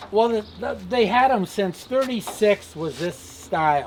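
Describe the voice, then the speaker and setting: Over noticeable background noise, a man speaks at a fairly slow pace in a high pitch. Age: 80s+. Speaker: retired car salesman. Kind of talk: casual chat.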